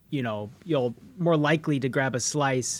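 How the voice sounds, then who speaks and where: In a very clean recording with a silent background, a man with an unremarkable speaking voice talks at a fairly high pitch with ordinary variation. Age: 30s. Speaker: podcast host. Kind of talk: casual chat; scripted narration.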